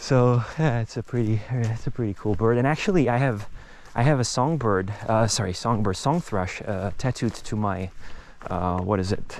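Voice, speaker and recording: This man talks at a moderate pace with a Czech accent. His pitch is medium, with ordinary pitch variation. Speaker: nature vlogger. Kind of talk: casual walking monologue. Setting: outdoors, walking in nature. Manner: halting, many fillers.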